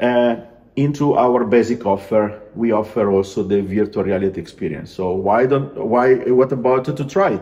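A man with an Italian accent talks at a moderate pace in a dark, mellow tone, his pitch varying in an ordinary way. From Italy. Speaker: aircraft paint designer. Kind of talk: casual chat; video call conversation. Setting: video call. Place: home room. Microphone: video call.

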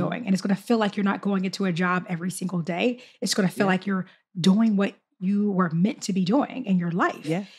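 A woman speaks at a fairly quick pace, her voice somewhat breathy, in a very clean recording with a silent background. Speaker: podcast co-host. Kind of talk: casual chat. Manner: animated.

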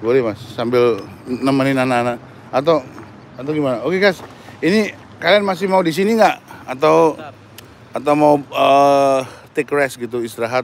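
Over noticeable background noise, a man speaks at a fairly quick pace in a fairly high pitch with lively intonation. He takes long, frequent pauses. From Indonesia, Surabaya. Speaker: vlogger. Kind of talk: live stream walking tour. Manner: animated.

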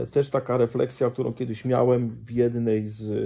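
A man's voice has a dark, mellow tone and vocal fry. His intonation is monotone and flat. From Poland. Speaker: Baptist pastor and missionary; Baptist preacher recommending a book. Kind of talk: casual book review monologue. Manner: halting, with frequent repetitions and fillers. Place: home room. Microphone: phone near.

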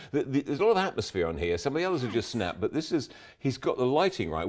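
In a quiet background, a man's voice makes very wide pitch swings. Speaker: guest. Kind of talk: commentary. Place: studio.

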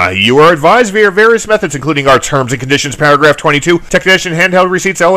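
A high-pitched man with an American accent at a very fast pace, amid noticeable background noise. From United States. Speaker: voice actor. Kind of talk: corporate narration.

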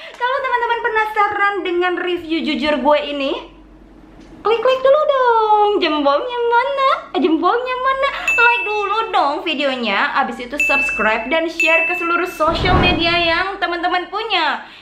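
Moderate pace from a woman, loud background noise around her. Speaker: beauty vlogger. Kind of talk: casual product review chat. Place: home room.

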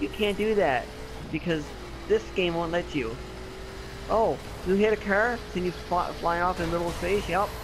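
A man speaks at a high pitch and moderate pace, with long, frequent pauses. His pitch variation is ordinary, and background noise is noticeable. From Newfoundland, Canada. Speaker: gamer. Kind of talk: casual chat. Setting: online voice chat.

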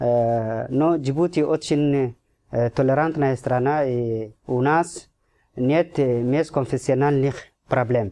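Speaking very slowly with a non-native accent, a man keeps his intonation fairly even and his loudness very even. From Djibouti. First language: not Russian (speaking Russian). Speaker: ambassador; guest. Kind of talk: radio interview. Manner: halting. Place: studio. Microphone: studio mic.

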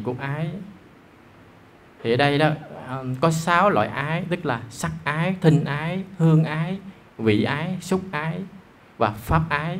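This is a male speaker. His delivery is extremely slow. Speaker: monk teacher. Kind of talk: dharma lecture. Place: hall. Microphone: handheld.

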